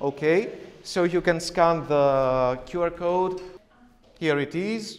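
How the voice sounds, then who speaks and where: A man with a high pitch speaks in a Greek accent. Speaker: teacher. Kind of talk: workshop presentation. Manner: hesitant, many fillers.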